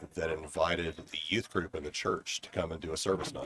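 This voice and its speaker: A man's very deep, low voice. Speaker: interview guest. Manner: monotone.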